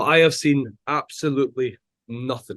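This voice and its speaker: A man speaks with a Scottish accent. His pitch sits in the medium range. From Scotland. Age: 40s. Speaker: chef. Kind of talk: casual chat.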